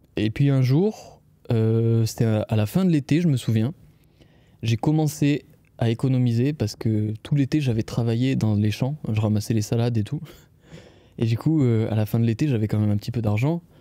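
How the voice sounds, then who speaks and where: A man's dark, mellow tone at medium pitch, with ordinary pitch variation, very even loudness, a moderate pace, and long, frequent pauses. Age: 20s. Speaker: video creator and podcast host. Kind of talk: casual solo podcast. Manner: hesitant, many fillers.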